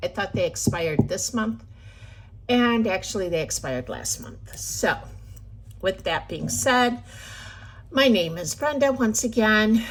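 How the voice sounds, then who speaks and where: A woman talks at a fairly slow pace with long, frequent pauses. Her loudness swings widely. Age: 50s. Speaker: budgeting vlogger. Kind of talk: casual chat. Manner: hesitant with filler words.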